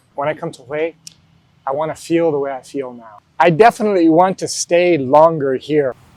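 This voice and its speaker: Fairly quick and fairly high-pitched, a man talks with ordinary pitch variation in a dry, close sound with no echo. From US, New Mexico. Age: 60s. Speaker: retired school principal. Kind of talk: interview.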